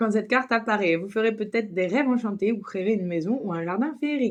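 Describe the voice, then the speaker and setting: A woman's fairly high pitch with lively intonation. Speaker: tarot reader. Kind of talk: tarot reading with card text read aloud. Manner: fast; hesitant with many fillers.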